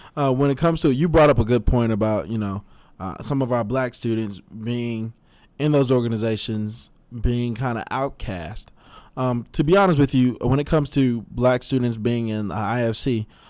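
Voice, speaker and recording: A man's normal speaking voice at medium pitch and moderate pace, on a very clean recording with a silent background. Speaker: student podcast host. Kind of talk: casual interview. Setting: studio.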